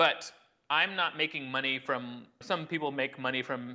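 Here is a man with a normal speaking voice. His pitch is medium and his intonation fairly even. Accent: American. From US Midwest (Illinois), then California. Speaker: professional juggler. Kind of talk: casual interview chat.

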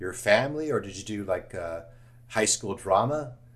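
A somewhat breathy male voice with an American accent, moderate pace and ordinary pitch variation. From Los Angeles, US. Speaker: podcast host. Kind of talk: casual interview.

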